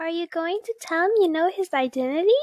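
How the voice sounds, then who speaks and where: A woman uses a put-on character voice at an extremely high pitch, with ordinary pitch variation, a fairly quick pace and a dry, close sound with no echo. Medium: read story. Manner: cheerful, encouraging.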